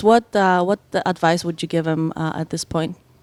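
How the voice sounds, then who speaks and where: A woman with a non-native accent and a medium pitch speaks at a moderate pace, recorded very cleanly against a silent background with a dry, close sound and no echo. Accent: foreign. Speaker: podcast host. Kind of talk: interview. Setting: on location. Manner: halting.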